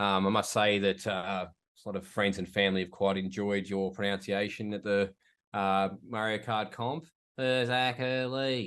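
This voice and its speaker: With an Australian accent, a man speaks at a moderate pace. His fairly low voice holds a fairly even intonation. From Tasmania, Australia (Glenorchy near Hobart). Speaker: podcast guest. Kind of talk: casual chat.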